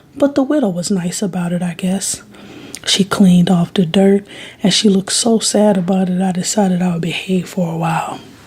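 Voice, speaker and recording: Noticeable noise is present in the background. The words come at a moderate pace. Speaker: ASMR creator. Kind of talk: bedtime story reading. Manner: expressive voice inflections.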